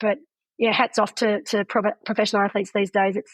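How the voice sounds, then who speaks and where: The background is quiet as a woman talks at a fairly quick pace. She has an Australian accent. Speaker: retired pro triathlete and race commentator. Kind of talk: interview answer.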